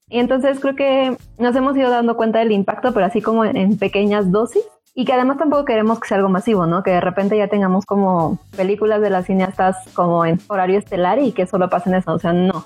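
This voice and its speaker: Over music in the background, a woman speaks very fast with very even loudness and ordinary pitch variation. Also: medium pitch for a woman. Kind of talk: interview answers, casual conversation.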